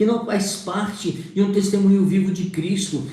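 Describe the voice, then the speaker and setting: A man's high voice at a moderate pace, with audible room echo and noticeable background noise. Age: 60s. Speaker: preacher. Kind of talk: sermon.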